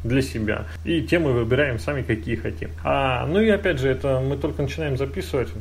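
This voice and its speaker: A man with a medium pitch talks at a fairly quick pace with very wide pitch swings and hardly any pauses, and room echo is audible. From Russia, moved around (military family). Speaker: podcast host, programmer. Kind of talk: casual chat.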